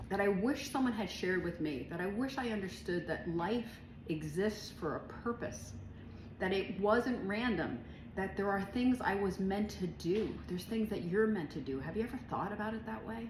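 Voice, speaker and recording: Lively intonation from a woman, with noticeable background noise and audible room echo. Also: medium pitch for a woman, moderate pace. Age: 60s. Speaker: author and business owner. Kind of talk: casual monologue to camera. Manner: casual, many fillers.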